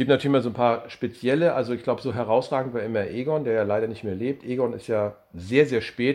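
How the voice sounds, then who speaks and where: Over a quiet background, a man with an ordinary speaking voice talks at a fairly quick pace and a medium pitch, using fairly even intonation. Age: 50s. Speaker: volunteer fire brigade leader. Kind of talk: interview.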